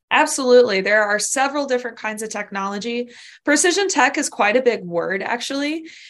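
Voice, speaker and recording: Against a quiet background, a woman talks fairly quickly at a fairly high pitch with lively intonation. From Southern California. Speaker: dairy science professor. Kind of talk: interview.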